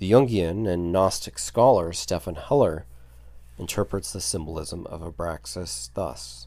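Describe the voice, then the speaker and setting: The voice is dark and mellow, with vocal fry, at a fairly slow pace. Pitch swings very widely and loudness rises and falls sharply. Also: man, very deep, low pitch for a man. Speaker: podcast host on occult and mythology. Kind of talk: scripted narration.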